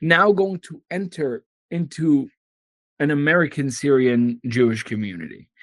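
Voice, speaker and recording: Recorded dry and close with no echo, a man with a fairly high pitch talks at a fairly slow pace with lively intonation. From Syria (Damascus), raised in US from childhood. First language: Arabic. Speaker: attorney and activist. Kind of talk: interview testimony.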